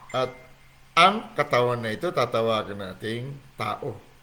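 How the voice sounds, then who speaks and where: A man speaking at a fairly slow pace. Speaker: online Bible teacher. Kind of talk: livestream Bible teaching. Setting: livestream from home on laptop. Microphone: laptop mic, asks if volume is okay.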